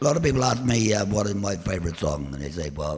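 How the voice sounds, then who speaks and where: The speaker has a Cornish accent and a moderate pace. Audible room echo colors the recording. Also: man. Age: old. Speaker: folk singer-songwriter. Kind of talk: live performance banter. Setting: church stage with audience. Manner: halting.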